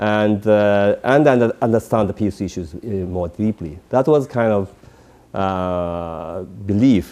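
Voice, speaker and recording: This man talks at a very slow pace. His voice is fairly low in pitch, with ordinary pitch variation. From Japan. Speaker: peace activist. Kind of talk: interview. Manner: halting.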